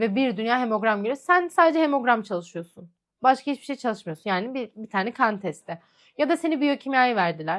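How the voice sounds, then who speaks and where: Her pitch swinging very widely, a woman talks at a fairly quick pace in a fairly high voice. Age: 20s. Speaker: lab technician and vlogger. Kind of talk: Q&A vlog, casual monologue. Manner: chatty, conversational.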